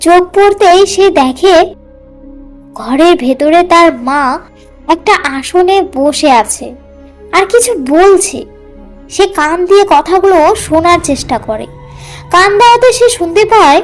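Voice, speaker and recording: A cartoonish character voice at an extremely high pitch speaks at a fairly slow pace over faint music in the background. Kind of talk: horror narration.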